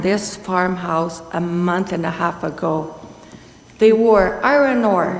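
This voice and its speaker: Amid noticeable background noise and audible room echo, a woman speaks at a very slow pace with medium pitch and ordinary pitch variation. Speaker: delegation speaker at council meeting. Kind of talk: public delegation statement.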